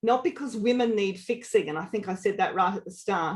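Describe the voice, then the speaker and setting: Speaking at a fairly quick pace, a woman with an Australian accent uses ordinary pitch variation. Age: 50s. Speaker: leadership coach. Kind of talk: webinar presentation. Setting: online webinar. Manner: animated.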